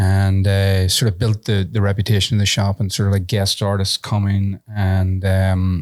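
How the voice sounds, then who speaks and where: In a strong Irish accent, a man with a fairly low pitch speaks with hardly any pauses, a monotone, flat intonation and very even loudness, on a very clean recording with a silent background and a dry, close sound with no echo. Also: moderate pace. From Ireland. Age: 50s. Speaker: tattoo convention organizer and entrepreneur. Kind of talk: casual chat. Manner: hesitant, many fillers.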